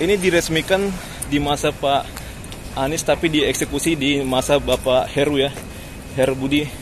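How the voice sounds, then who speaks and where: A man at a fairly high pitch and moderate pace, with fairly even intonation, very even loudness and long, frequent pauses, over noticeable background noise. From Jakarta, raised partly in a village. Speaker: vlogger. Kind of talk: walking vlog commentary. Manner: casual, conversational.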